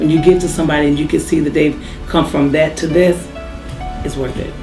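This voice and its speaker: Music plays behind a woman speaking very fast. Her pitch is very deep and low, with fairly even intonation. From Mississippi. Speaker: after-school program founder. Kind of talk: casual interview talk.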